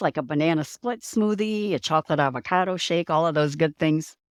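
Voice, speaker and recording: A woman with a plain, everyday voice speaks at a moderate pace with lively intonation, the sound dry and close with no echo on a very clean recording with a silent background. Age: 60s. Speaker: nutrition educator and author. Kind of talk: interview.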